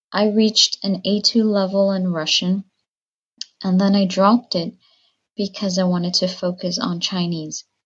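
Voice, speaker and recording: A woman's somewhat breathy, medium-pitched voice, monotone and flat, at a moderate pace. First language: Spanish. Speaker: language learner. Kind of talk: recorded listener question.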